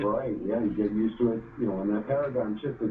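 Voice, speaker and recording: The speaker has a New York accent. Pitch varies in an ordinary way. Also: man. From New York, Brooklyn. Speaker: mortgage lender. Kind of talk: interview.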